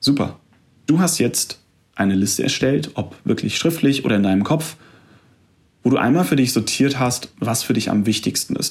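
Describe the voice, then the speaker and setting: A calm-toned man, somewhat breathy, at a moderate pace and medium pitch, with ordinary pitch variation and long, frequent pauses. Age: 20s. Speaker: podcast host, fitness studio manager. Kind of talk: solo podcast monologue, self-help talk. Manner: calm, direct address to listener.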